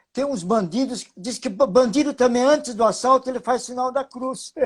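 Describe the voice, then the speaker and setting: A man talks with an extremely high pitch and ordinary pitch variation. His pace is moderate. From Brazil, interior of São Paulo state (Itapeva). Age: 70s. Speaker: lean management consultant. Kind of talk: webinar talk. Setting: live video stream.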